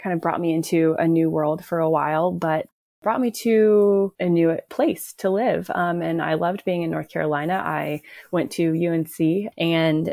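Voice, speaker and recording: A woman uses an ordinary speaking voice with an American accent, fairly low pitch and fairly even intonation at a moderate pace. The recording is very clean, with a silent background and a dry, close sound with no echo. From Oklahoma, US. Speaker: physical therapist and hiking mom. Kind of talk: interview.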